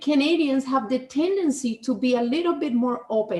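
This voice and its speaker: Her high voice keeps a moderate pace with ordinary pitch variation as this woman speaks. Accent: Spanish. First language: Spanish. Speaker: podcast host. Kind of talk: casual chat.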